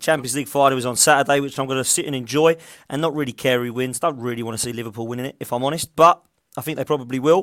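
This man speaks with ordinary pitch variation. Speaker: show host. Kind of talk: casual football chat show. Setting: online video show.

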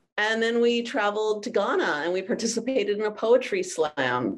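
A woman speaks in an unremarkable speaking voice with an American accent. Her pace is moderate. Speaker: exchange program founder and teacher. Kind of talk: panel interview chat.

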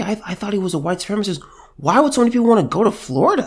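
An animated man with an American accent on a very clean recording, silent background. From California. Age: 20s. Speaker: political commentator. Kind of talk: monologue commentary.

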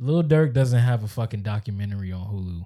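Over a silent background in a very clean recording, a man speaks at a moderate pace in a fairly low pitch, somewhat breathy, with a dark, mellow tone and ordinary pitch variation. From Maryland. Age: 20s. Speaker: podcast co-host. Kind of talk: casual chat.

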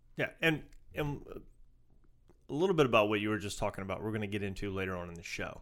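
A man with a Southern US accent and a fairly low voice talks at a very fast pace with lively intonation, broken by long, frequent pauses. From US South. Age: 50s. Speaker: podcast co-host, Coast Guard veteran. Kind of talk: casual chat. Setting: studio.

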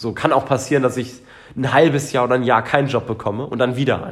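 A man talks in an ordinary speaking voice at a medium pitch. His pace is fairly quick, and his intonation is fairly even. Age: 20s. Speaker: podcast co-host. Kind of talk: casual chat.

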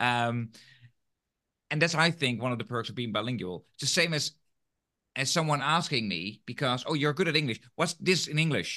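A man with a fairly high pitch speaks at a moderate pace, using lively intonation and a bright, sharp tone. He leaves long, frequent pauses. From Netherlands. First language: Dutch. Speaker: podcast host, teacher trainer. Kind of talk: interview conversation; scripted outro.

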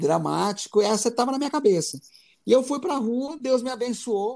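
The man's intonation is lively, captured in a very clean recording against a silent background. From Goiás, Brazil. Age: 40s. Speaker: concert photographer and musician. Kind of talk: casual interview.

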